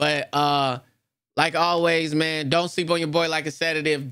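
Over a quiet background, a man speaks in a bright, sharp tone with fairly even intonation, the sound dry with no echo. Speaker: YouTuber. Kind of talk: casual vlog chat.

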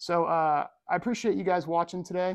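This is a man speaking. He has an American accent. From Ohio, US Midwest. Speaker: watch and style YouTuber. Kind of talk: casual vlog talk to camera.

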